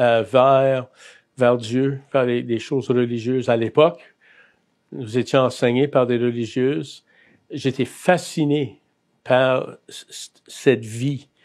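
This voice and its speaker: Very slowly, a man speaks in a medium pitch with fairly even intonation, the recording very clean with a silent background. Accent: Acadian. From Acadia, New Brunswick (Bathurst, north shore). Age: 60s. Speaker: Salvation Army chaplain. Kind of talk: testimony interview. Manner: hesitant, many fillers.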